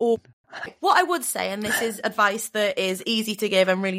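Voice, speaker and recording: In a northern English accent, a woman speaks with an animated tone and lively intonation. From northern England. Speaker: comedian and voiceover artist. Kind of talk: casual interview chat. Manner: animated, jokey.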